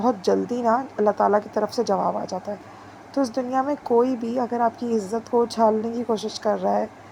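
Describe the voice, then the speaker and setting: A woman with a fairly high pitch in a monotone, flat intonation at a moderate pace. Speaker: vlogger. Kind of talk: casual vlog talk.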